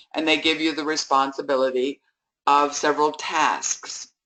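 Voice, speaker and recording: Moderate pace and a very deep, low pitch from a woman. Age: 70s. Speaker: network marketing leader. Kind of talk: motivational talk. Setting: conference call.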